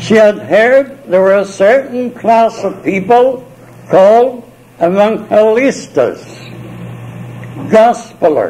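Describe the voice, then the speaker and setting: A man's high-pitched voice at a very slow pace, with ordinary pitch variation, long, frequent pauses and noticeable background noise. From Ireland. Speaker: missionary. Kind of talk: oral history storytelling. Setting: multi-purpose room of a retirement home. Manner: confident; animated. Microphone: cheap cassette recorder, tape crackle.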